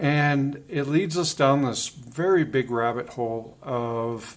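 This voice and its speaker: A man with a Canadian accent at a very slow pace. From Canada. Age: 40s. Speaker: video blogger. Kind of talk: casual monologue. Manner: halting, many fillers.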